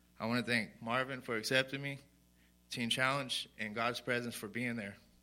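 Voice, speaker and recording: A man's medium-pitched voice with a West Texas accent, bright and sharp in tone, at a moderate pace with flat, monotone intonation. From Sweetwater, Texas. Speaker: recovery program resident. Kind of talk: testimony. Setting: church.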